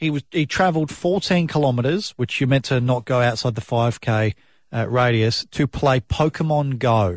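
The speaker has an Australian accent and a moderate pace, with very even loudness. The sound is dry and close with no echo, over a very clean, silent background. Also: man, medium pitch for a man, ordinary pitch variation. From South Australia. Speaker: breakfast radio host. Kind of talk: casual chat.

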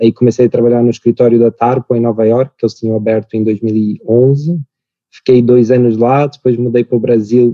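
A man at medium pitch and a moderate pace, his intonation monotone and flat. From Portugal. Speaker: startup founder and CEO. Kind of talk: interview.

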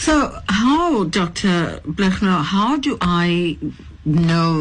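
Noticeable background noise runs under the recording. A woman speaks at a fairly low pitch. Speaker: radio host. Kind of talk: radio interview.

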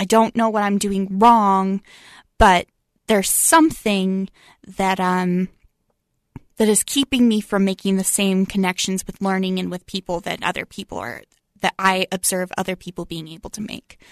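A woman with an American accent speaks at a moderate pace with medium pitch, ordinary pitch variation and big swings in loudness, in an unremarkable speaking voice. The sound is dry and close with no echo, over a quiet background. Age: 20s. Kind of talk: interview. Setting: studio.

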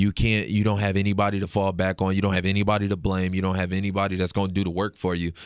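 A man's very deep, low voice with an American accent, very fast and monotone, very even in loudness, with hardly any pauses. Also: very clean recording, silent background. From Detroit. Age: 20s. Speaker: MMA fighter. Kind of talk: recorded interview.

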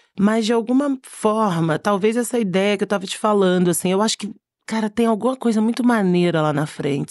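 Dry and close with no echo, a woman's plain, everyday voice moves at a fairly quick pace. Her pitch is medium. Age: 40s. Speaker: creative director. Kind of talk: casual interview chat.

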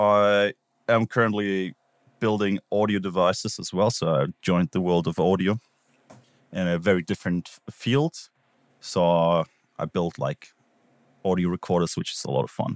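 A very deep, low male voice with ordinary pitch variation and long, frequent pauses, dry and close with no echo. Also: moderate pace. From Switzerland / southern Germany alpine region. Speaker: podcast player and sound designer. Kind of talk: casual chat. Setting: remote call.

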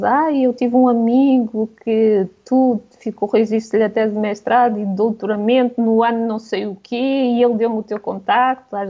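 An unremarkable speaking voice from a woman, fairly high in pitch, at a fairly slow pace. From Portugal. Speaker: travel blogger. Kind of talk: radio interview.

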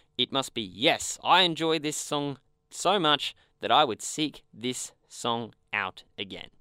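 Very slowly and with lively intonation, a man with an Australian accent speaks at a fairly high pitch in a bright, sharp tone, on a very clean recording with a silent background and a dry, close sound with no echo. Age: young. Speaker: podcast host. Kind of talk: casual chat. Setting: studio.

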